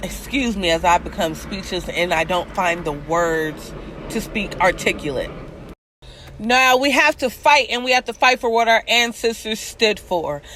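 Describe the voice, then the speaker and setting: A woman speaks loudly at a moderate pace and medium pitch, her passionate tone carried by very wide pitch swings. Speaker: vlogger, commentary show host. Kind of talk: video monologue on social issues. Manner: passionate, emotional.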